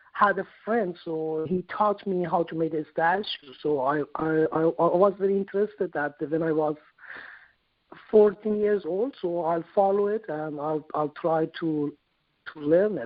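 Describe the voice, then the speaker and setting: Speaking at a fairly slow pace, a man with a Persian accent uses ordinary pitch variation. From Iran. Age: 40s. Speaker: sculptor. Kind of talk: interview. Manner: halting, repeats words.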